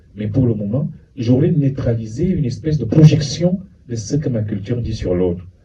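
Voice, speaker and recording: A man talks at a moderate pace. There is audible echo from the room. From France (Paris), Cameroonian family. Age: 60s. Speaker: psychologist and lecturer. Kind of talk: lecture.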